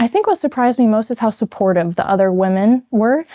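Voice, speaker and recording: A woman with an American accent and a dark, mellow tone at a moderate pace, in a very clean recording with a silent background. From Maine, US. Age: 20s. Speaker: nursing student, former pageant titleholder. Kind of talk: interview.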